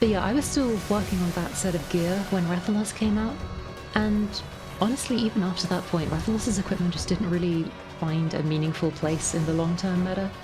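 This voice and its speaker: Over music in the background, a woman with a medium-pitched voice talks at a fairly quick pace with ordinary pitch variation. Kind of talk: gameplay commentary. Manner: casual, conversational.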